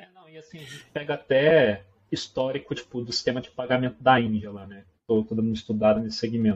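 With big swings in loudness, a man talks at a fairly quick pace in a medium pitch with ordinary pitch variation. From Minas Gerais, Brazil. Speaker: product manager. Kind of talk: casual interview chat.

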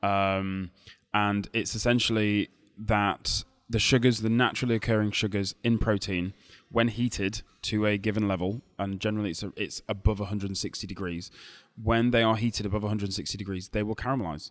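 With a Lancashire accent, a man talks at a fairly quick pace. His pitch is fairly low and his intonation is monotone and flat. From Lancashire, northern England. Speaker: barbecue cook and food expert. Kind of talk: interview. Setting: hotel lobby cafe, recorded live at a food show.

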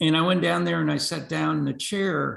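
The voice belongs to a man. He speaks with an American accent. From US Northeast. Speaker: veterans advocate. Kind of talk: interview. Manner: halting.

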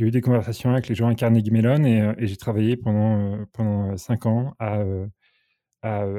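On a very clean recording with a silent background, a man with a dark, mellow tone and medium pitch talks at a fairly slow pace with fairly even intonation. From France, Normandy. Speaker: senior software engineer. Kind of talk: casual interview. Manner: halting.

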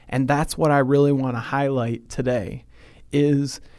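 A man with a plain, everyday voice in a very clean recording with a silent background. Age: 30s. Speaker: host's son, ministry guest. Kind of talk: casual Bible teaching chat. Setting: studio.

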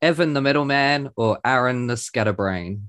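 Speaking at a moderate pace with ordinary pitch variation, a man with an Australian accent has a fairly high voice and a dry, close sound with no echo. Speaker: podcast host. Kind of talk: scripted review reading; casual chat. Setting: remote call.

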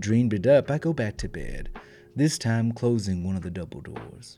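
Music runs underneath the talking. The delivery keeps a moderate speed. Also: man. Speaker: storytelling podcaster. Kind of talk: bedtime ghost story reading, hushed and suspenseful. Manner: warm, playful, chatty in intro and outro.

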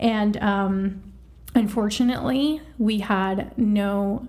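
A woman speaks at a medium pitch with a somewhat breathy, dark and mellow tone and ordinary pitch variation. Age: 30s. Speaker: IVF patient sharing experience. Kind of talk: casual chat.

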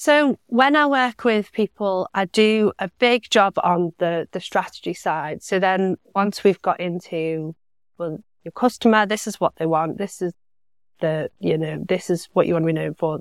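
At a fairly slow pace, a woman talks in a normal speaking voice with medium pitch and lively intonation. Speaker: content marketing specialist. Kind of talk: casual interview chat.

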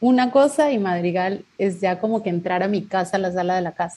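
Somewhat breathy and dark, mellow in tone, a woman speaks at medium pitch and a fairly slow pace. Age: 40s. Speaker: singer. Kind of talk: interview.

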